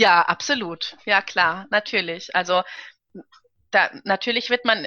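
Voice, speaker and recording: A woman talks at a fairly slow pace in a bright, sharp tone. The sound is dry and close with no echo, and her pitch variation is ordinary. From Karlsruhe, Germany. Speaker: opera and concert singer. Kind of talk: casual interview.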